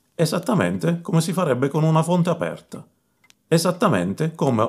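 With vocal fry, a man talks at a moderate pace. The range of his pitch is very wide. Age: 40s. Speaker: YouTuber on open-source intelligence. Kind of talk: personal narration to camera. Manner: formal.

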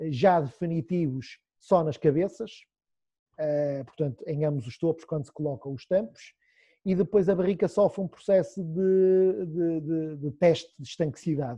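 This man has a normal speaking voice with a fairly high pitch. He talks at a fairly slow pace with ordinary pitch variation. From Portugal, Esmoriz. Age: 30s. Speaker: cooper, cooperage business owner. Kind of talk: interview, explaining craft.

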